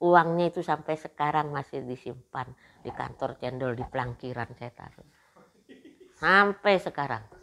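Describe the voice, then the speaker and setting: At a fairly slow pace, a woman with a very deep, low pitch and ordinary pitch variation speaks, leaving long, frequent pauses. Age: 70s. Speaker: business owner. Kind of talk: interview testimony.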